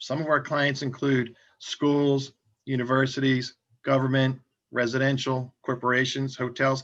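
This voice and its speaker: A man talks in a normal speaking voice at a moderate pace, with a medium pitch and ordinary pitch variation. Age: 60s. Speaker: franchise company founder. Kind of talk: interview.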